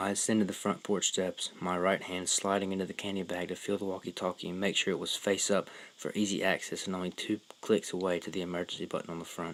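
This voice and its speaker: With a very deep, low pitch, a man talks very fast in a monotone, flat intonation. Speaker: horror story narrator. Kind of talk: horror story narration. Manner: stuttering.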